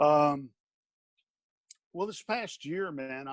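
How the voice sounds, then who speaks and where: A man with an Alabama accent, in a dry, close sound with no echo. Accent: Southern US (Alabama). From US South. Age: 50s. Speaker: stuntman and actor. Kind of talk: interview. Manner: halting, many fillers and restarts.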